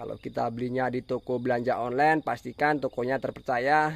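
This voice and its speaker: The sound is dry and close, with no echo. A man speaks in a flat monotone at medium pitch. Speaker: oil palm farming YouTuber. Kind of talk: tutorial. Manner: fast.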